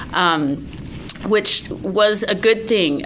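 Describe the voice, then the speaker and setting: A woman with a medium pitch speaks over noticeable background noise. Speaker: writer and editor. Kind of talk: talk to academic group. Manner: loud.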